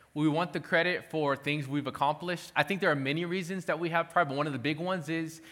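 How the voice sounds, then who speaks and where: A man's fairly quick, fairly high-pitched voice with fairly even intonation and a bright, sharp tone. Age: 30s. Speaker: pastor. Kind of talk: sermon.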